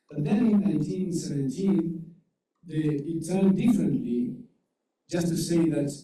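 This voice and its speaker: A man with a Uruguayan accent, high in pitch with ordinary variation, at a fairly slow pace amid audible room echo. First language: Spanish. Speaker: legal scholar. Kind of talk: conference presentation. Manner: halting.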